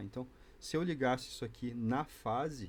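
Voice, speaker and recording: A man talks with ordinary pitch variation around a medium pitch, keeping to a moderate pace. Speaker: electronics hobbyist youtuber. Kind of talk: tutorial.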